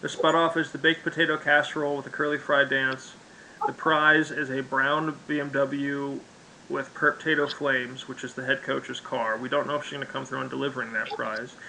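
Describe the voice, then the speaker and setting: Against noticeable background noise, a man talks quite quickly in a fairly high pitch. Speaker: game master of an online role-play game. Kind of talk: game session narration and explanation. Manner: fast, animated.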